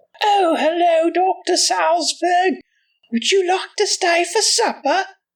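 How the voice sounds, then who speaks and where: A woman's put-on character voice, squeaky and extremely high, with fairly even intonation, very even loudness and a fairly slow pace. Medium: read story.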